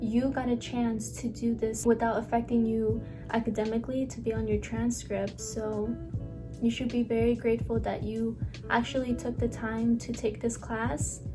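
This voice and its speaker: A woman at a moderate pace, music in the background. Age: young. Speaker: nursing student. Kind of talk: casual talk to camera.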